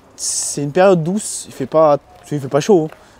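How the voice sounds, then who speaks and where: A man speaks at a fairly high pitch with ordinary pitch variation, in a dry, close sound with no echo. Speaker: car detailing youtuber. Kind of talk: casual tutorial. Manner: loud.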